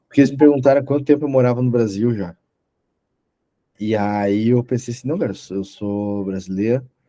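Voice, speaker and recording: A man with a medium-pitched voice talks at a fairly quick pace, with ordinary pitch variation. He leaves long, frequent pauses. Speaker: podcast host. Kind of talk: casual interview conversation.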